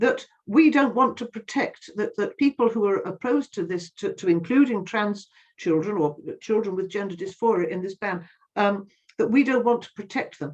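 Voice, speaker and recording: A woman's fairly high, somewhat breathy voice comes at a moderate pace. Her intonation is lively. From England, West Midlands (Sutton Coldfield). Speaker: campaigner. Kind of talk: interview. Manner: halting.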